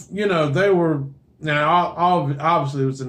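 This man has an ordinary speaking voice, pitched fairly high. He speaks at a moderate pace with ordinary pitch variation. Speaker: podcast co-host. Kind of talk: casual chat.

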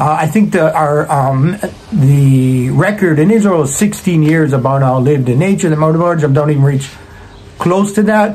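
The man's pitch is fairly high, with ordinary variation and a slightly mellow tone. He keeps a moderate pace, and room echo is audible.

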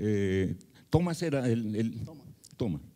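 A man with a dark, mellow tone speaks against a quiet background. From Colombia, Medellín. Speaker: retired mathematics professor. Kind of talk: panel discussion. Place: hall. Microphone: handheld.

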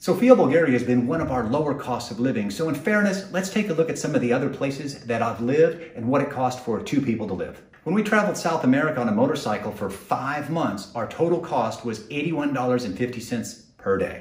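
A man talks at a fairly quick pace with hardly any pauses. Audible room echo surrounds his voice. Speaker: travel vlogger. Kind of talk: casual vlog chat. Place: home room. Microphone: lapel.

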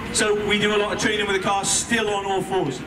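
Noticeable background noise runs under speech that moves at a fairly quick pace. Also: man. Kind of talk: commentary. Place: street.

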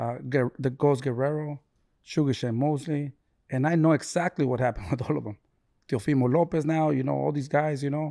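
A man with a normal speaking voice talks at a fairly high pitch and a fairly quick pace, with fairly even intonation. The recording is very clean, with a silent background. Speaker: boxing trainer, father of boxer. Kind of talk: casual chat.

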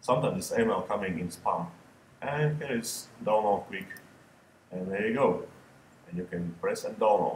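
A man speaks with a non-native accent. He leaves long, frequent pauses. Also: moderate pace. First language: not English. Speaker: photographer. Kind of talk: screen-recorded software tutorial. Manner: casual, hesitant.

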